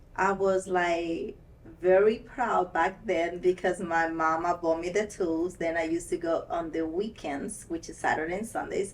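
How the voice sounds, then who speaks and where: A woman speaks in a fairly low pitch with fairly even intonation. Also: moderate pace. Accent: Spanish. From Ecuador. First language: Spanish. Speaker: nail technician. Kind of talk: interview.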